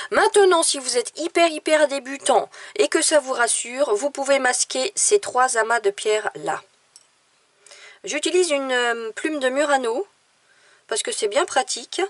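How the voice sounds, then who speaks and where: A woman's high voice at a fairly slow pace, with very wide pitch swings, long and frequent pauses, and a dry, close sound with no echo. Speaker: watercolour teacher and illustrator. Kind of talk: tutorial.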